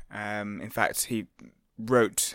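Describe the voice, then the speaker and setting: In a fairly low pitch, a man speaks with monotone, flat intonation. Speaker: author. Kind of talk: casual chat.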